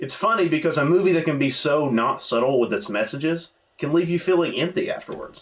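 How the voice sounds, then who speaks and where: This man talks with a Southern US accent at a fairly quick pace. His pitch is high, with ordinary variation. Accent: understated Southern US. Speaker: movie reviewer. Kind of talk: casual video review. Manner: casual, conversational.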